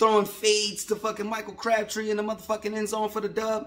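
A man's animated voice at a fairly quick pace. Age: 30s. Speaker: sports fan vlogger. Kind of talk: casual rant. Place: home room. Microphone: phone near.

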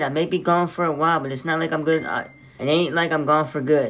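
Music plays in the background as a man speaks. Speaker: livestreamer. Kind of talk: casual livestream chat. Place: home room. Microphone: phone near.

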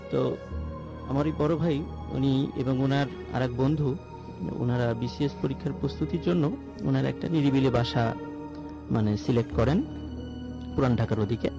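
The sound is dry, with no echo. Clear music plays in the background. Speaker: caller telling a ghost story. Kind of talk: live story telling to radio audience. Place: studio. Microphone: studio mic.

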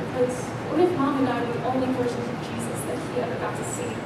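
Amid loud background noise and audible room echo, a woman talks very fast. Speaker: speaker. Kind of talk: staged dramatic monologue. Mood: earnest, emotional. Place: church. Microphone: camera far.

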